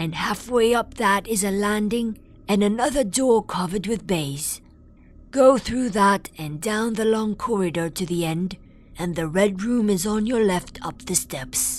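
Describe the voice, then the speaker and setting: A female-sounding voice is put on as a character, at a medium pitch for a woman. It moves at a fairly slow pace over clear background noise. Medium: read story. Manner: sullen, repetitive.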